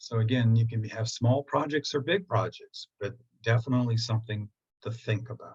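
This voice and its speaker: In a dry, close sound with no echo, a man speaks somewhat breathily with fairly even intonation. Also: medium pitch for a man, moderate pace. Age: 70s. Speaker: feng shui teacher. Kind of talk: online presentation. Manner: conversational.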